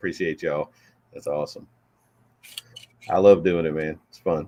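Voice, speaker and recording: A man with a Southern US accent at a moderate pace. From Florida. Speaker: rapper. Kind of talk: casual chat.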